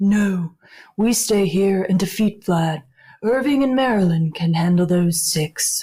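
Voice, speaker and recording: This is a put-on character voice that sounds female, pitched in the middle range. It moves at a fairly slow pace. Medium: audio drama. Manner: firm, authoritative.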